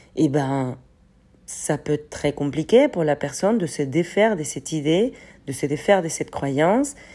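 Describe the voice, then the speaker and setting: This woman has a very deep, low pitch and a dark, mellow tone, with lively intonation at a moderate pace. The recording is very clean with a silent background. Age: 30s. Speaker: personal development podcaster. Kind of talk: solo reflective monologue. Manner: hesitant, many fillers.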